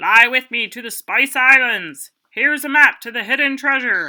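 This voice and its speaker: A put-on character voice, pitched high. The pace is moderate. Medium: read story.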